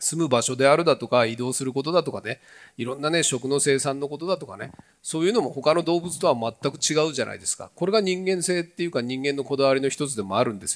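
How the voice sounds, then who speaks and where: A man speaks at a very fast pace, fairly high in pitch with ordinary pitch variation and big swings in loudness, on a very clean recording with a silent background. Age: 60s. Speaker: regional revitalization promoter. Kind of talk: talk session presentation. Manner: animated.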